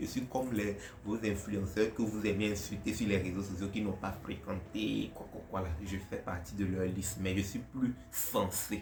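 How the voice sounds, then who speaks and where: A somewhat breathy man speaks fairly slowly in a Togolese accent. The room echo is audible. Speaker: content creator. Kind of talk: casual Q&A vlog. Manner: casual, hesitant.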